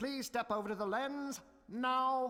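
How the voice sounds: A man speaks in a put-on character voice, extremely high-pitched with a bright, sharp tone. His pace is fairly slow and his pitch variation is ordinary.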